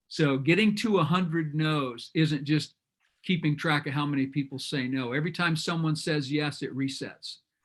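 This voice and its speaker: The pace here is moderate. Pitch variation is ordinary. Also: man, fairly high pitch for a man. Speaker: business coach. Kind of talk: group video call discussion. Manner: loud.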